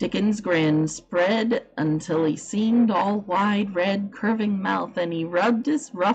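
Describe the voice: The clip is plain reading aloud, and the pitch varies in an ordinary way.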